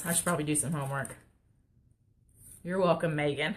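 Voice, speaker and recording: Talking at a very fast pace in a Texas accent, a woman has a bright, sharp tone and fairly even intonation. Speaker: crafter. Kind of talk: live stream craft tutorial. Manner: casual, chatty.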